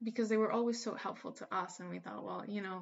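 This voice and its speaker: Speaking with a Spanish accent, a woman keeps her intonation fairly even. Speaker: spiritual teacher. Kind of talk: casual monologue.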